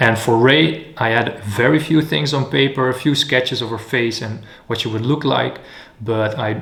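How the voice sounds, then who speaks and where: There is noticeable background noise behind a man's voice. He has medium pitch, ordinary pitch variation and a fairly slow pace. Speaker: animator. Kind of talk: casual vlog narration. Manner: occasionally whispered.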